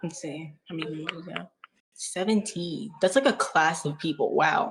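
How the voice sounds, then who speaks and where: A woman's somewhat breathy, fairly low voice with big swings in loudness. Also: ordinary pitch variation, moderate pace. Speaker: staff member hosting a fan Q&A livestream. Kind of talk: livestream Q&A. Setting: livestream on Discord. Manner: casual, chatty.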